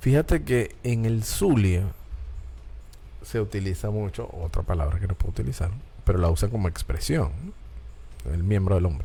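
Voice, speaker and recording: Over background music, a man with a Caracas Venezuelan accent speaks at a moderate pace in a very deep, low voice, with an animated tone, very wide pitch swings and long, frequent pauses. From Venezuela, Caracas. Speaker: talk show host. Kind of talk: casual chat.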